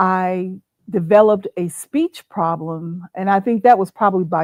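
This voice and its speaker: A woman with a plain, everyday voice and an American accent speaks at medium pitch with ordinary pitch variation and a fairly slow pace, in a dry, close sound with no echo. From Arizona. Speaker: playwright. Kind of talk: interview. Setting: livestream.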